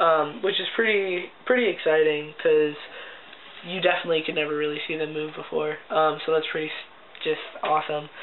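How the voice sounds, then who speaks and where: A man speaks at a fairly high pitch. The recording has audible room echo and noticeable background noise. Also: moderate pace. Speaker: video blogger. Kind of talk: casual vlog. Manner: chatty, many fillers.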